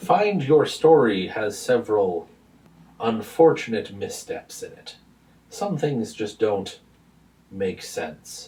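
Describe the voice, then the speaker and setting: Putting on a character voice, a man booms at a fairly high pitch and fairly slow pace, with big swings in loudness and long, frequent pauses. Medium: actual play. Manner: blunt, formal, hearty.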